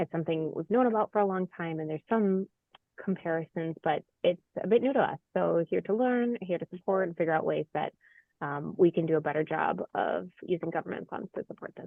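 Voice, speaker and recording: A woman talks in a normal speaking voice. Her pitch is fairly low and her pace fairly quick. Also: ordinary pitch variation. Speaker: city housing official. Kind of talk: video call introduction.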